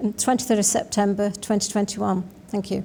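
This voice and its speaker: A woman speaks at a very fast pace with a Manx accent. Her voice is somewhat breathy and fairly high in pitch. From Isle of Man. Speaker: election candidate, sitting politician. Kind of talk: prepared campaign statement.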